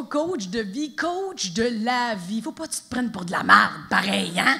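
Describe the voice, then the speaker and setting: The pace is fairly slow. Noticeable background noise sits behind the voice. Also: woman. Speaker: stand-up comedian. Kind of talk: live stand-up comedy performance. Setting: live theatre audience. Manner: energetic, playful.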